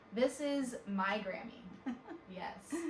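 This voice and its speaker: A woman's voice over noticeable background noise. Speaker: fitness trainer. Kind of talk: interviewer, casual talk to camera.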